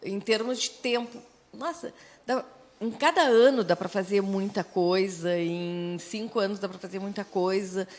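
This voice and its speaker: A woman with a plain, everyday voice speaks at a fairly slow pace and a medium pitch. Her pitch varies in an ordinary way, while her loudness swings widely. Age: 60s. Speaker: radio host. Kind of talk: casual chat.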